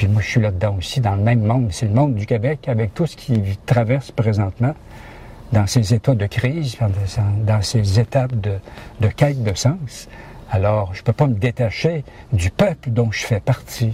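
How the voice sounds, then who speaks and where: With a dark, mellow tone and a somewhat breathy quality, a man speaks at medium pitch and a moderate pace, using ordinary pitch variation and long, frequent pauses. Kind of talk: interview.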